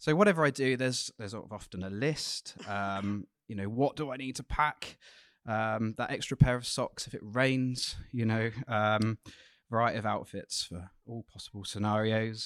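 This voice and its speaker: Speaking in an unremarkable speaking voice, a man holds a medium pitch, a moderate pace and ordinary pitch variation, with big swings in loudness. The recording is very clean with a silent background and a dry, close sound with no echo. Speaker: church member. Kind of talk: sermon. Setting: church. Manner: nervous.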